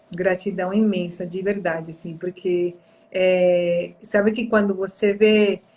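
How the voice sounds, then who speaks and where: A woman at a very slow pace, monotone and flat in intonation, with big swings in loudness. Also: medium pitch for a woman. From outside Brazil. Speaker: therapist and live-stream host. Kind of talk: live-stream conversation, personal testimony. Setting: online live stream.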